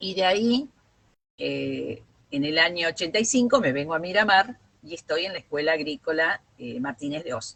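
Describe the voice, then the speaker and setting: A woman with an Argentine accent speaks at a fairly low pitch. She keeps a moderate pace with lively intonation. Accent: Rioplatense Argentine Spanish. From Argentina, Bolívar (Buenos Aires province). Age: 70s. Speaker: retired teacher and union leader. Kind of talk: interview.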